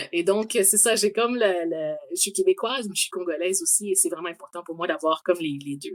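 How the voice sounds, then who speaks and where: With a Quebec accent, a woman speaks at a fairly quick pace. Her medium pitch carries lively intonation. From Quebec, Montreal. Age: 40s. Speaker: engineer. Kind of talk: interview. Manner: hesitant.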